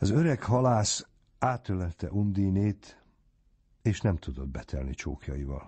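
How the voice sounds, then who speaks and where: A somewhat breathy man with a fairly low pitch speaks at a very slow pace, making very wide pitch swings. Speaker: audiobook narrator. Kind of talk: reading aloud.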